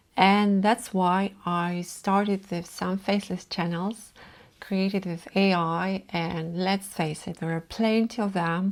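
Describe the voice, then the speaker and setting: A woman speaks with a non-native accent at a very slow pace. Her intonation is flat and monotone. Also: medium pitch for a woman, very clean recording, silent background. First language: not English. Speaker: content creator. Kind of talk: vlog talk to camera. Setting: filming alone in front of camera.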